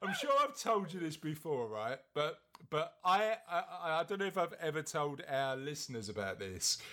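With an East London accent, a man talks at a fairly high pitch with lively intonation. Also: moderate pace. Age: 40s. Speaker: podcast host. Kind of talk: casual chat and interview.

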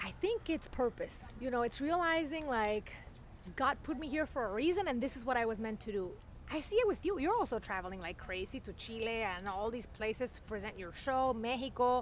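A high-pitched woman's voice with a Spanish accent, very wide pitch swings and a fairly quick pace. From Venezuela. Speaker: journalist. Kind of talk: casual chat. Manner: animated.

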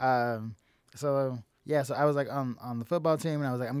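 A man with an American accent speaks at a medium pitch. The recording is very clean with a silent background. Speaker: comedian. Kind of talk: casual chat. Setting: studio. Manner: talkative, laughs often.

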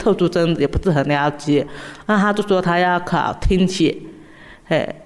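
At a moderate pace, a woman with a plain, everyday voice speaks at a medium pitch with lively intonation. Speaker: special education teacher. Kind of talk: interview.

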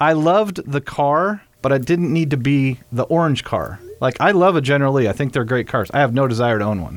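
A man's fairly high-pitched, normal speaking voice, fairly quick, with hardly any pauses and lively intonation. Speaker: vintage car restoration shop owner. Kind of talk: casual chat. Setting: studio.

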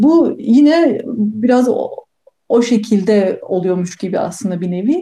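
A woman speaks very slowly in a fairly high pitch, her intonation lively. Her tone is dark and mellow and somewhat breathy. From Turkey, Bursa. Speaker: neuroscientist. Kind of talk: interview.

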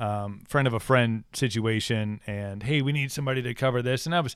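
Here is a plain, everyday voice with an American accent at a moderate pace. The recording is very clean, with a silent background. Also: man. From Wisconsin, US Midwest. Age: 30s. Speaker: podcast host, former radio DJ. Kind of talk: casual chat.

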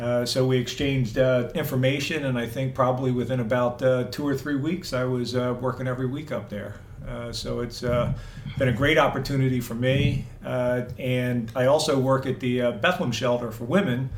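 Fairly even in intonation, the speech moves at a moderate pace with hardly any pauses, amid noticeable background noise and audible room echo. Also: man, medium pitch for a man. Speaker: volunteer and Marine veteran. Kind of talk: interview.

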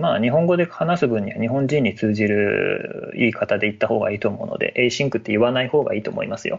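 Hardly any pauses break up this very fast delivery. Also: man. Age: 30s. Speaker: web engineer. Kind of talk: casual chat.

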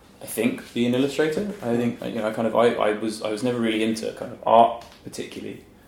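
Over noticeable background noise and audible room echo, a man talks at a very fast pace with hardly any pauses and fairly even intonation. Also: medium pitch for a man. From England, Norfolk. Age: 30s. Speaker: illustrator. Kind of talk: casual interview.

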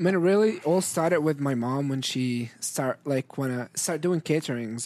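With an Arabic accent, a man talks at a fairly quick pace and a fairly high pitch, the sound dry and close with no echo. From Syria. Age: young. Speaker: restaurant owner. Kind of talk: casual interview.

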